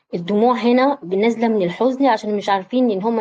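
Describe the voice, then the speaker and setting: A woman with an Egyptian accent. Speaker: psychology and self-awareness coach. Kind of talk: online lecture with live audience. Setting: online video session. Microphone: voice may be cutting in and out.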